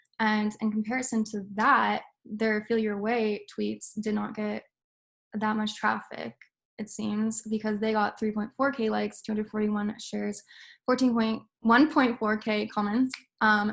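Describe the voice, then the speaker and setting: A somewhat breathy voice in a monotone, flat intonation. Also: woman, very clean recording, silent background. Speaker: student presenter. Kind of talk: class presentation. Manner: fast.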